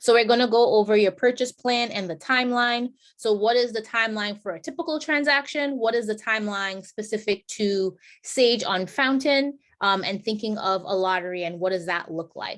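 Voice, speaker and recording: A plain, everyday voice from a woman at a fairly high pitch, moderate pace and ordinary pitch variation, over a quiet background. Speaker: homebuyer program presenter. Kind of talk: informational presentation.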